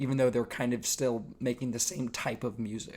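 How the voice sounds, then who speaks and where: In a very clean recording with a silent background, the talking runs at a fairly quick pace. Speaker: music reviewer. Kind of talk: casual review monologue. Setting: shared room with other people. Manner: quieter than usual.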